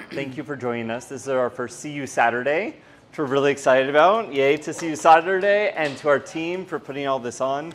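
With light background noise behind him, a man speaks at a fairly high pitch with ordinary pitch variation and big swings in loudness. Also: fairly quick pace. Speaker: museum director. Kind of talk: event introduction. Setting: gallery with live audience. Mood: upbeat, welcoming. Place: hall.

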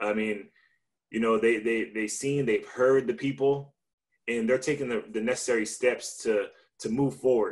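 Over a quiet background, a man with an American accent talks at a moderate pace, with medium pitch and ordinary pitch variation. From Victorville, California; California. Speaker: baseball pitcher; panelist. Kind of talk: panel discussion. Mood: earnest, somewhat upset. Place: home room. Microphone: video call.

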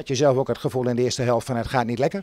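A man's medium-pitched voice with a slightly mellow tone, ordinary pitch variation and a very fast pace

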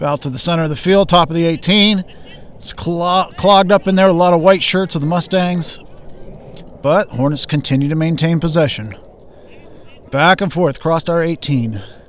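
A man speaks at a moderate pace in a high voice, with a relaxed tone. There are long, frequent pauses, light background noise, and a dry sound with no echo. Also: ordinary pitch variation. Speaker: high school soccer commentator. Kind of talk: live commentary. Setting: outdoors at a soccer field, streaming live. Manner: relaxed, conversational, casual asides between plays. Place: stadium. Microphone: camera far.

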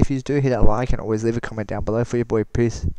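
An excited man at a very fast pace, in a dry sound with no echo. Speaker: gaming YouTuber. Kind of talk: gameplay commentary. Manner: quiet. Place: home room. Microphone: headset.

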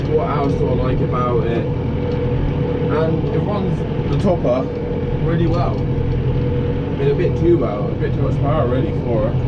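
Loud background noise around a man's fairly slow speech. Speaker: tractor driver reviewer. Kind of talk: casual vlog chat. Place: farm machine. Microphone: camera far.

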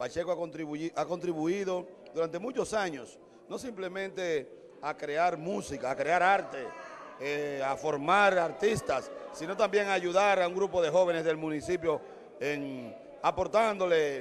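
Light background noise sits behind a man speaking at a fairly slow pace with a high pitch. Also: ordinary pitch variation. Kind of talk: interview answer. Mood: celebratory, praising. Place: hall. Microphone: handheld.

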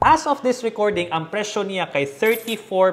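A man speaks at a very slow pace over light background noise. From Philippines. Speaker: personal finance content creator. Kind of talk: short explainer video with sponsored pitch. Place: home room. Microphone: lapel.

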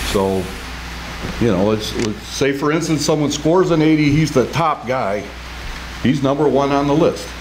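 Noticeable background noise sits behind a man at medium pitch. He speaks at a moderate pace with ordinary pitch variation. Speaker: HR director. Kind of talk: city council meeting. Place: hall. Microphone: podium.

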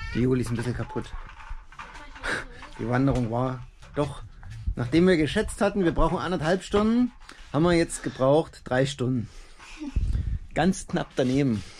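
Leaving long, frequent pauses, a man talks at a moderate pace with light background noise. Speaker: family father vlogger. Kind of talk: casual vlog chat. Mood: cheerful, relaxed. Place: open country. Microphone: phone near.

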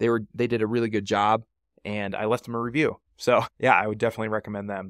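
A very fast, fairly low-pitched man in monotone, flat intonation, with a dry sound, no echo and a quiet background. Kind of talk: tutorial. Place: home room. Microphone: studio mic.

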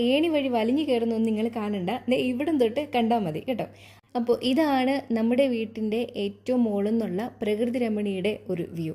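This woman has a fairly high pitch and a dark, mellow tone, with ordinary pitch variation. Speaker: vlogger. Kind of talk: casual vlog narration. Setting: at home.

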